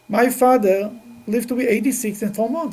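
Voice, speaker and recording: Audible room echo surrounds a man's voice as he speaks at a fairly quick pace. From Russia, then Israel. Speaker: rabbi teaching a class. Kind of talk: religious lecture. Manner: halting.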